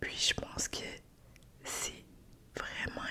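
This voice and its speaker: Someone whispers at a very slow pace in a relaxed tone. Background noise is noticeable behind the voice. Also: woman. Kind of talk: ASMR whispered ramble to camera. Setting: studio with fluffy windscreen mic. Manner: soft, whispered, relaxed.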